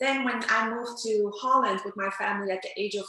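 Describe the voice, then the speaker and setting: A fairly quick pace in a Turkish accent over noticeable background noise. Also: woman. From Netherlands, Amsterdam. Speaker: interpreter and language coach. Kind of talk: interview.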